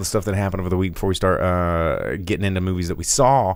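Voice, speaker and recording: A man speaks at a very fast pace. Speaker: movie podcast host. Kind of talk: casual chat. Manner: loud; halting, many fillers and repeats.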